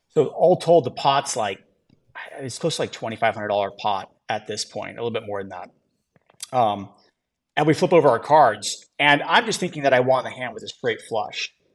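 A man talks at a moderate pace in a plain, everyday voice with a medium pitch. His loudness swings a lot. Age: 30s. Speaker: entrepreneur. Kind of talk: interview.

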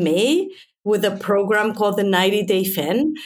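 Audible room echo surrounds a woman speaking at a moderate pace, her fairly high pitch carried by lively intonation. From Mexico. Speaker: physicist. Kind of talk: interview.

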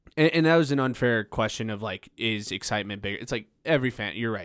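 A man of medium pitch speaks with an American accent and lively intonation, an ordinary speaking voice. The recording is very clean, with a silent background. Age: 20s. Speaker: podcast host, comedian. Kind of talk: casual chat.

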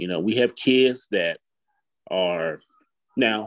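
A man speaks with an Alabama accent in a dry, close sound with no echo. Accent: US South, Alabama. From Huntsville, Alabama. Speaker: parent sharing experience. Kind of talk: casual chat.

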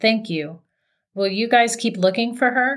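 A put-on character voice, raspy and shaky, at a moderate pace. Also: woman.

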